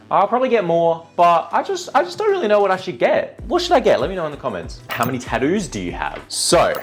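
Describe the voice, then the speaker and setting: With music in the background, a voice in an Australian accent races along at a very fast pace with hardly any pauses. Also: man. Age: 20s. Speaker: content creator. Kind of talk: casual chat. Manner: animated.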